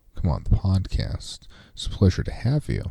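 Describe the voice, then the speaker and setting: With an American accent, a man speaks at a moderate pace in a dark, mellow, somewhat breathy tone, his pitch swinging very widely. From United States. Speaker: podcast host. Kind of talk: scripted narration.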